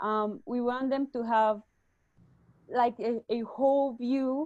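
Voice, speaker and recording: A woman with a Spanish accent talks at a very slow pace, her pitch fairly high. Her pitch varies in an ordinary way against a quiet background. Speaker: startup executive. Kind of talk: webinar interview. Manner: halting.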